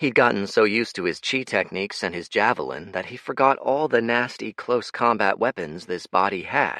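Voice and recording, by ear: Someone reads aloud in a natural voice, the pitch moving up and down in an ordinary way.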